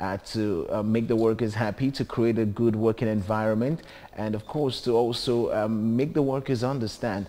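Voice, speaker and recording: A man talks at a moderate pace in a dark, mellow tone. His intonation stays fairly even. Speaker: TV show host. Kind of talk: TV show presenting. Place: studio. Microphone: lapel.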